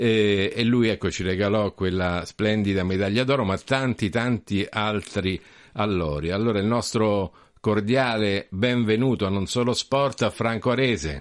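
A man talks fairly slowly with ordinary pitch movement, the background around him quiet. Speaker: radio host. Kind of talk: radio interview. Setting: studio.

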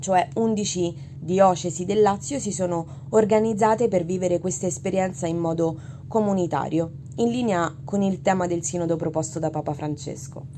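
Over noticeable background noise, a woman speaks at a moderate pace and a fairly low pitch, with ordinary pitch variation. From Italy. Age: 20s. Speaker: religion teacher. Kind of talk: testimony.

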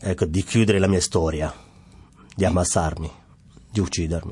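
A man with a Somali accent speaks at a moderate pace in a very deep, low pitch. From Somalia, Mogadishu. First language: Somali (speaking Italian). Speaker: refugee, former footballer. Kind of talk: interview testimony. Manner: halting, with repetitions and fillers.

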